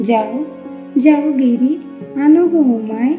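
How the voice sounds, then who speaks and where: Soothing, high-pitched female speech with ordinary pitch variation, over music in the background. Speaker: poetry reciter. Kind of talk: poetry reading. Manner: rhythmic, soothing.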